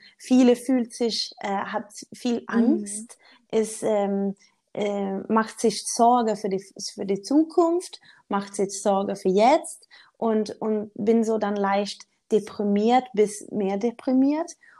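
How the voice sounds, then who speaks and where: A woman's fairly high voice with a Swedish accent, dark and mellow in tone, very slow with ordinary pitch variation, on a very clean recording with a silent background. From Sweden. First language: Swedish (speaking German). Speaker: motivational speaker. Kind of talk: interview. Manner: halting, searching for words.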